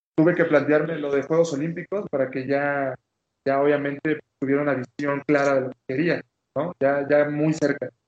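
At a moderate pace, a man with a fairly high voice speaks in a monotone, flat intonation. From Mexican Caribbean (Quintana Roo). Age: 20s. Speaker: Olympic taekwondo athlete. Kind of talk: interview. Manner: repetitive, halting restarts.

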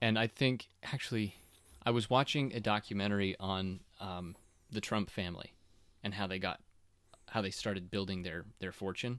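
Long, frequent pauses break up speech delivered at a moderate pace. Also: man, fairly low pitch for a man. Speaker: podcast host. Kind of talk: casual interview chat with family. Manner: friendly, upbeat, conversational.

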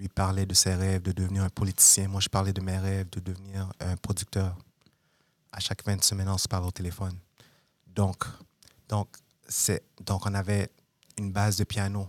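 A man with a very deep, low pitch speaks in a monotone, flat way with long, frequent pauses. The sound is dry and close with no echo, on a very clean recording with a silent background. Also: moderate pace. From Montreal, Quebec. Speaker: music producer. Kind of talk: interview.

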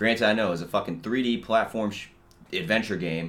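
In a normal speaking voice, a man with a fairly low pitch talks at a fairly quick pace with lively intonation. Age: 20s. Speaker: podcast host. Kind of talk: casual monologue. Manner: casual, rambling with fillers.

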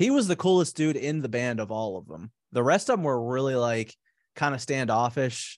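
An unremarkable speaking voice with an American accent moves at a fairly quick pace with ordinary pitch variation. The recording is very clean, over a silent background. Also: man. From Pittsburgh, US. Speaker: musician and podcaster. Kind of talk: casual chat.

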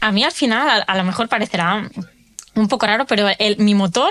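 A woman talks at a moderate pace in an unremarkable speaking voice. Her pitch is fairly high, with ordinary variation. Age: 30s. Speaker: nutrition coach for people with autoimmune disease. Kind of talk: interview testimony.

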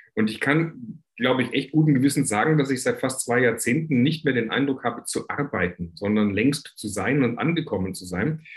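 A man with a medium-pitched, somewhat breathy voice talks at a moderate pace. His intonation is lively, with hardly any pauses. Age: 50s. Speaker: entrepreneur, coach and author. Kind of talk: interview.

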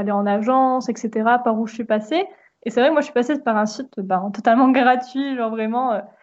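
In a plain, everyday voice, a woman speaks at a fairly quick pace with a fairly high pitch and ordinary pitch variation. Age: 20s. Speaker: podcast host, aspiring illustrator. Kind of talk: casual chat.

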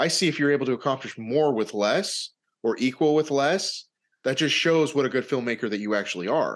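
A man with an ordinary speaking voice talks at a fairly quick pace and a fairly high pitch. His loudness stays very even, with ordinary pitch variation over a quiet background. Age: 40s. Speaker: podcast host and independent filmmaker. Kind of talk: casual interview chat.

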